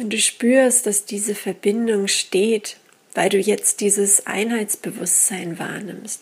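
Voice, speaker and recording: A woman with a medium pitch speaks at a very slow pace in a gentle, calm tone. Her voice is somewhat breathy, with fairly even intonation. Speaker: meditation guide and teacher. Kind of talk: guided meditation. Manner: very slow, calm, soothing, with long pauses; intuitive, gentle, unhurried.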